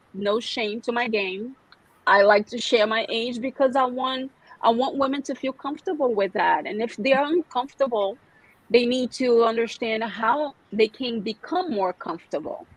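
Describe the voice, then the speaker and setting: Spoken at a moderate pace with a Brazilian Portuguese accent, the voice shows ordinary pitch variation. The sound is dry and close with no echo, and there is noticeable background noise. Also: woman, high pitch for a woman. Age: 40s. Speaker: skincare specialist and massage therapist. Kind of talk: podcast interview. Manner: halting, many fillers and repeats.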